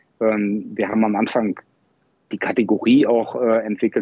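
Flat and monotone, a man speaks fairly slowly. His pitch is fairly low. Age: 40s. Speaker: e-commerce software founder. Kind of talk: casual interview.

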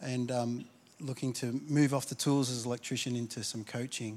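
The pace here is fairly quick. A man speaks with an Australian accent. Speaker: pastor. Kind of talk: sermon. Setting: church. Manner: halting, repeats words.

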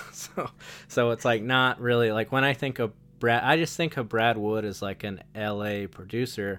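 The man has an ordinary speaking voice, medium pitch, ordinary pitch variation and a moderate pace. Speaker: podcast host. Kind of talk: casual chat.

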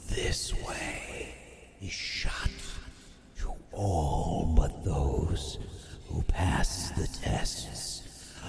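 A man whispers very slowly in a put-on character voice. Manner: ominous, solemn.

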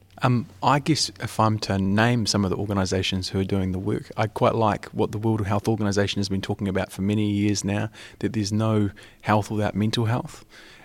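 In a very clean recording with a silent background, a man with a New Zealand accent talks at a fairly quick pace in a fairly low voice with fairly even intonation. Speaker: youth mental health advocate. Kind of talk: roundtable discussion.

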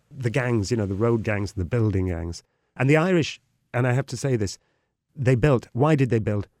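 The man has a north Welsh accent, a medium pitch and lively intonation at a moderate pace. The sound is dry and close with no echo, on a very clean recording with a silent background. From Wales. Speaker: tour guide. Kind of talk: casual chat.

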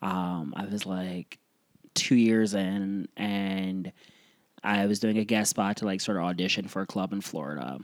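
A man's ordinary speaking voice, fairly low in pitch, with an American accent, a fairly slow pace and fairly even intonation, on a very clean recording with a silent background. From US Midwest, Cleveland, Ohio. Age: 30s. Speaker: stand-up comedian. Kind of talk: casual chat.

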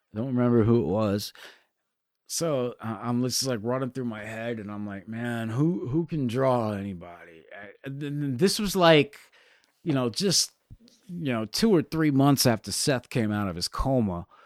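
A man with an American accent and an ordinary speaking voice talks at a moderate pace and medium pitch. His intonation is lively, with big swings in loudness, in a very clean recording with a silent background. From Connecticut, US. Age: 40s. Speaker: rock guitarist. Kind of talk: casual chat.

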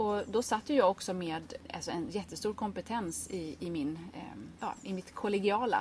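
A woman speaks in a somewhat breathy voice. Her intonation is lively. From Sweden, grew up on an island. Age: 30s. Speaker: gardening blogger and author. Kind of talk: casual interview conversation.

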